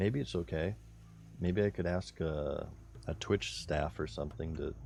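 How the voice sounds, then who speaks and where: A man with a very deep, low pitch uses lively intonation as music plays in the background. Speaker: streamer. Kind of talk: casual live stream chat.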